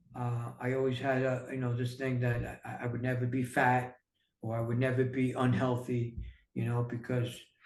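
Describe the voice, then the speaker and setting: With a New York accent, a man talks at a moderate pace in a somewhat breathy voice with fairly even intonation, and audible room echo surrounds him. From New York City. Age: 60s. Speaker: entrepreneur and author. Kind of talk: casual interview.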